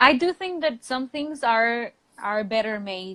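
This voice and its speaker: A woman's lively intonation in a Spanish accent, with a dry, close sound and no echo. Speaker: English teacher. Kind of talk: casual chat. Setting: live video stream.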